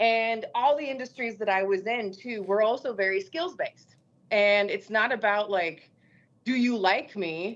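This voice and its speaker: Against a quiet background, a woman with a fairly high pitch speaks at a fairly slow pace with ordinary pitch variation. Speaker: TV host and construction advocate. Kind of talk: podcast interview. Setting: video call. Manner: loud.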